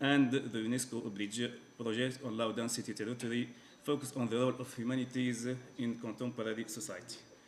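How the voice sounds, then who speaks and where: Room echo is clearly audible. The voice belongs to a man. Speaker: professor. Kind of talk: conference keynote lecture. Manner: halting, many fillers.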